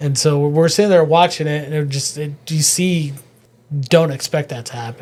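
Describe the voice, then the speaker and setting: A man with a fairly high pitch speaks at a moderate pace in a somewhat breathy voice, his intonation fairly even but his loudness swinging widely. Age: 40s. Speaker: comedian. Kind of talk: casual chat.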